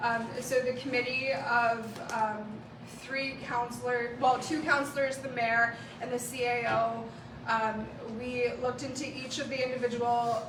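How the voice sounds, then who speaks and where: With audible room echo and noticeable background noise, a woman speaks loudly at a high pitch and a moderate pace in a monotone, flat intonation. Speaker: municipal councillor. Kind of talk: reading aloud; council meeting presentation. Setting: council meeting room.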